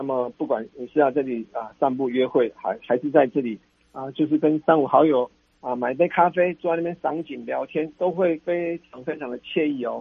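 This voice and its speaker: A man's fairly high voice at a moderate pace, with ordinary pitch variation and big swings in loudness. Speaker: city tourism official. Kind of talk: radio interview. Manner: halting, many fillers.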